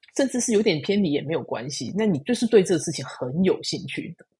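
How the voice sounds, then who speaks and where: Somewhat breathy, a woman's voice has a dark, mellow tone and very wide pitch swings. The background is quiet. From Taiwan. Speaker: engineering program manager. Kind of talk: casual interview.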